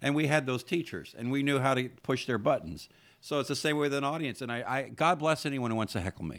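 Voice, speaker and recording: With a very clean recording and silent background, a man with a fairly high pitch talks at a very fast pace in an animated tone with ordinary pitch variation. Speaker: podcast host and comedian. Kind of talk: casual chat. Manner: animated, talkative, interrupts often.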